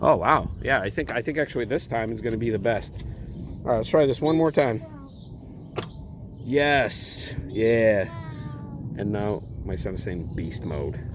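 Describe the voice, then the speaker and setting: Long, frequent pauses from a man at a fairly slow pace, medium in pitch with lively intonation, amid noticeable background noise. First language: Russian. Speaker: car owner vlogger. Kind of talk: DIY tutorial; casual vlog outro. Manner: casual.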